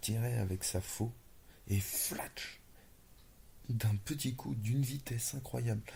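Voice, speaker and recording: Whispering and somewhat breathy, this voice goes at a very slow pace. Long, frequent pauses break it up. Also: man. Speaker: ASMR storyteller. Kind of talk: improvised whispered fantasy story. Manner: whispered, low voice.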